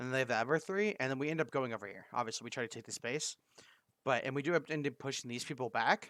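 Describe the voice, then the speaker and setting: Very fast man's voice, fairly high in pitch, bright and sharp, ordinary pitch variation, very clean recording with a silent background. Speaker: esports coach reviewing match footage. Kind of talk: gameplay vod review.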